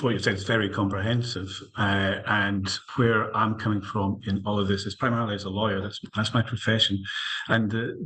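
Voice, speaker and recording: A man talks in a fairly low pitch with a Scottish accent and fairly even intonation. Noticeable background noise runs underneath. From Scotland. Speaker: lawyer, panellist. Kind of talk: panel discussion. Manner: halting, many fillers.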